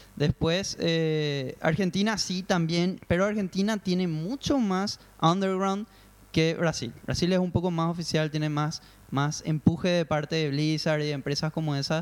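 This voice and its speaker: This man's voice sits high in pitch, with ordinary pitch variation. He speaks at a fairly slow pace. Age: 30. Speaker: online gaming company guest. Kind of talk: casual chat.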